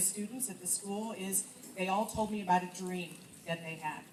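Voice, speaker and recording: Over noticeable background noise and audible room echo, a woman speaks at a medium pitch with fairly even intonation. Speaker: leadership coach and businesswoman. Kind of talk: speech to students. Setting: school event with audience, microphone. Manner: loud.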